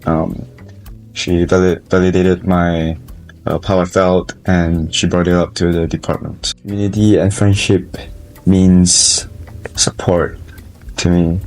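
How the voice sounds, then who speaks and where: Over noticeable background noise, a man with a very deep, low pitch speaks fairly slowly in a monotone, flat intonation. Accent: Malaysian. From Malaysia. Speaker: college student. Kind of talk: interview. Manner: halting.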